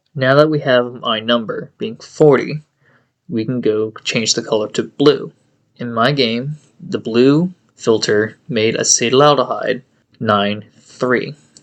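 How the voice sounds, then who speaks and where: A man with a medium-pitched voice speaks at a very slow pace. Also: ordinary pitch variation. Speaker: gaming guide creator. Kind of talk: game tutorial voiceover. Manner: stuttering, choppy speech.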